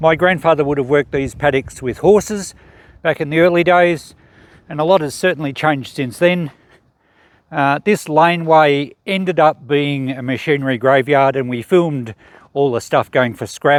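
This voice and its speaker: On a very clean recording with a silent background, a man with an Australian accent speaks at a moderate pace, fairly high in pitch, with ordinary pitch variation. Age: 60s. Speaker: YouTuber. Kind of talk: casual vlog narration. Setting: outdoors.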